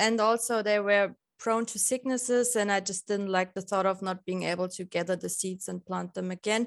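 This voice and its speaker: The speaker has a German accent and a moderate pace with fairly even intonation. The recording is very clean, with a silent background and a dry, close sound with no echo. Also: woman. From Lower Bavaria, Germany. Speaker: balcony gardener. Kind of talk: casual interview chat.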